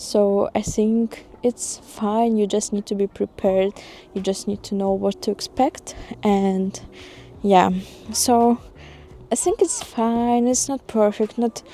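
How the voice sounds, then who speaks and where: Very slow speech from a woman with a non-native accent, fairly high pitch and ordinary pitch variation, dry and close with no echo. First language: not English. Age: 20s. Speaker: expat vlogger. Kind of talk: casual vlog monologue. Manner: hesitant, many fillers.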